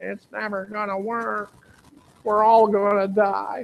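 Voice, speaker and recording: In a put-on character voice, the speaker goes at a fairly slow pace with a fairly high pitch. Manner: gloomy, pessimistic.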